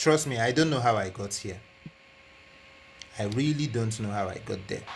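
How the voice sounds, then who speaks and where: Audible room echo surrounds a man speaking at a moderate pace. His medium pitch shows ordinary variation. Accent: non-native. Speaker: flight sim live streamer. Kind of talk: live stream chat. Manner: repetitive.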